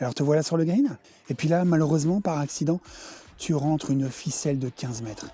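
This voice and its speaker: Speech moves at a moderate pace on a very clean recording with a silent background. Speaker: golf video creator. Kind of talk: comedic golf tutorial. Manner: soft-spoken, nature documentary parody.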